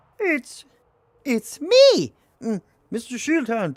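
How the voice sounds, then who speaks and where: A put-on character voice that sounds female, pitched high. The pace is very slow. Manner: funny disguised voice.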